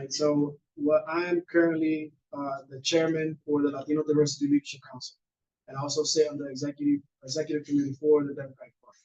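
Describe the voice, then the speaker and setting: Talking very fast in a Spanish accent, a man with fairly high pitch and a dark, mellow tone keeps a monotone, flat intonation while his loudness swings a lot. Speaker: candidate for appointed office. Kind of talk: candidate interview answer.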